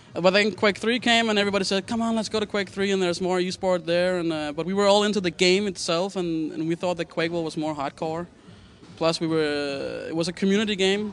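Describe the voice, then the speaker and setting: Music in the background behind a man with a high pitch, a very fast pace and fairly even intonation. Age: 20s. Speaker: pro gamer. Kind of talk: interview.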